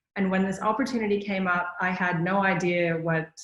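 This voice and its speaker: In a room with audible echo, a woman talks at a fairly quick pace and medium pitch with monotone, flat intonation. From Canada. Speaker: management consultant, conference speaker. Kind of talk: conference talk.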